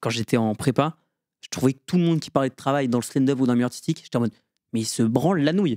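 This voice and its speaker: A man's animated, very fast voice with lively intonation, dry and close with no echo, on a very clean recording with a silent background. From rural France. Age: 20s. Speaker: stand-up comedian and student. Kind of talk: casual podcast interview.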